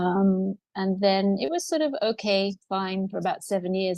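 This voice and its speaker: A woman with an unremarkable speaking voice, medium pitch, fairly even intonation and moderate pace, in a dry, close sound with no echo. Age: 60s. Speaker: interviewee sharing pelvic health story. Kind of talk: testimony.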